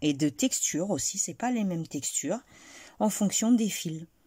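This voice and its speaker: A soft-spoken woman with a dark, mellow, somewhat breathy tone, very wide pitch swings and a fairly slow pace, on a very clean recording with a silent background. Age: 40s. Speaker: crochet tutorial creator. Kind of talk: tutorial.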